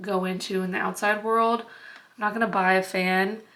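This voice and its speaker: A woman speaks at a medium pitch with a monotone, flat delivery. Audible room echo surrounds her voice. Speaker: homestead vlogger. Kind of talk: casual vlog. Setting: at home on homestead. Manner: chatty.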